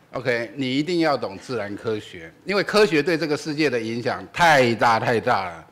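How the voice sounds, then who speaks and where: A man talks at a moderate pace with hardly any pauses and very wide pitch swings. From Taiwan. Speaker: physics professor, event moderator; physics professor. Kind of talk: introduction at public lecture; lecture. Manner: hesitant, many fillers. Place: hall. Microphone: podium.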